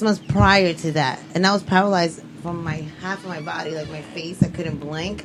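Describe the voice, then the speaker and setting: A woman speaks at a fairly low pitch with ordinary pitch variation over noticeable background noise. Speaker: radio show host. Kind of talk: casual chat. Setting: studio. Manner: slurred speech.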